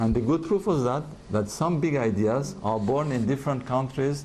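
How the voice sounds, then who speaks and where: There is audible room echo as a man with a dark, mellow tone speaks with lively intonation. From France. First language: French and Russian. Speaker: advertising executive. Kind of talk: interview. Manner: halting.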